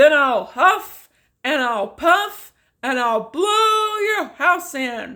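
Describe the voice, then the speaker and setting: Using a put-on character voice, the speaker goes at a very slow pace with a high pitch and very wide pitch swings. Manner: roaring, menacing.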